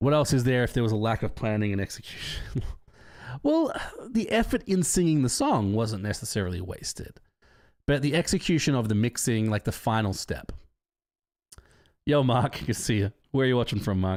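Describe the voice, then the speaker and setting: With an Australian accent, the speaker moves at a fairly quick pace yet leaves long, frequent pauses, on a very clean recording with a silent background. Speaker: live streamer reading chat. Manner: casual, chatty.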